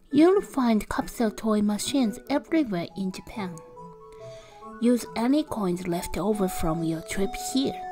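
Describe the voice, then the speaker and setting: A woman's fairly slow speech with very wide pitch swings, music playing in the background. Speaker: travel channel narrator. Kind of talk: travel voice-over narration.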